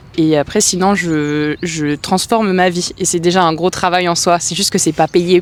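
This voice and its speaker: The speech moves at a moderate pace with hardly any pauses and fairly even intonation, set against noticeable background noise. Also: woman, fairly low pitch for a woman. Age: 30s. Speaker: aspiring writer, interviewee. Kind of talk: interview testimony. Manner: hesitant, many fillers.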